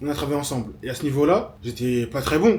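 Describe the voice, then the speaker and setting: Speaking at a very fast pace, a man uses a fairly high pitch. Noticeable background noise and audible room echo are present. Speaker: web developer and vlogger. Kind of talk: vlog monologue.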